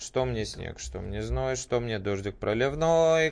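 The speech goes at a very slow pace. It has ordinary pitch variation. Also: man. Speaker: radio host. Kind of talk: casual chat. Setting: studio.

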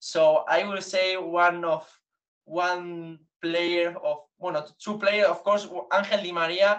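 A man with a Spanish accent, high-pitched, very slow, monotone and flat. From Basque Country, Spain. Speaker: journalist and football fan. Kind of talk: podcast interview, mixing Spanish and English.

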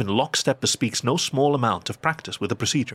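Somewhat breathy, medium-pitched male voice, dry and close with no echo, on a very clean recording with a silent background. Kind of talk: literary audio drama narration.

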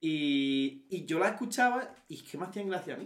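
A man speaks with very wide pitch swings. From Andalusia, Granada. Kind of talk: casual chat.

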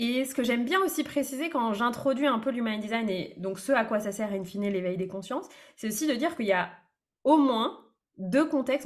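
Her voice is fairly high and somewhat breathy, and this woman moves at a fairly quick pace with lively intonation. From France, Brittany. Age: 30s. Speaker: business coach. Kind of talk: casual interview.

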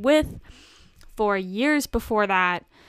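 Against a very clean, silent background, a woman with a fairly high pitch talks in an animated tone with ordinary pitch variation. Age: 20s. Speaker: podcast host. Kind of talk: casual solo monologue. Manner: animated, frequent laughter.

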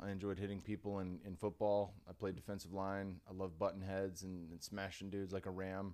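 A man using a normal speaking voice talks fairly quickly, his pitch fairly low. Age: 30s. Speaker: former mixed martial artist and podcast host. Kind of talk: casual interview. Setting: studio.

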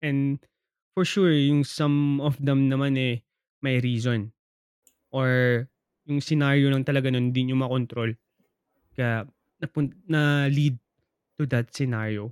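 At a fairly slow pace with long, frequent pauses, a man speaks at medium pitch with fairly even intonation, very even loudness and a dry, close sound with no echo. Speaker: podcast co-host. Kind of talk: casual chat.

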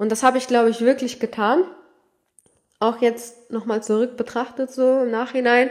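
The speaker keeps a moderate pace in a flat, monotone delivery broken by long, frequent pauses. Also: woman, high pitch for a woman. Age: 20s. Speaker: solo podcast host. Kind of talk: casual monologue.

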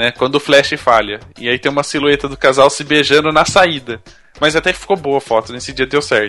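With music in the background, a man talks at a fairly quick pace in a fairly high pitch with ordinary pitch variation. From Brazil. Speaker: podcast host. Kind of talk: casual chat.

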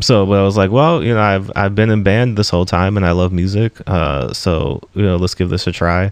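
A man with an American accent, fairly low in pitch, with ordinary pitch variation, hardly any pauses and noticeable background noise. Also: fairly quick pace, very even loudness. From DC, Maryland, Virginia region (US). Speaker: comic book writer. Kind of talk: interview conversation.

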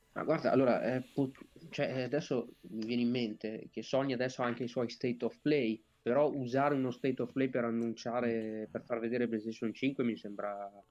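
Flat and monotone, a man speaks at a moderate pace and a medium pitch. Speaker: gaming podcast co-host. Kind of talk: casual chat. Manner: professorial, explanatory.

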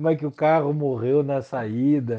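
Monotone and flat, a man speaks at a very slow pace in a medium pitch with a dark, mellow tone. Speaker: friend of the hosts. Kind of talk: casual chat.

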